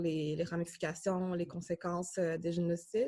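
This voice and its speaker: A woman speaks at a moderate pace with monotone, flat intonation and a fairly low pitch. The recording is very clean, with a silent background. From Tanzania refugee camp, then Canada from early childhood. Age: 20s. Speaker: graduate student. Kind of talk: interview testimony. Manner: halting, many fillers.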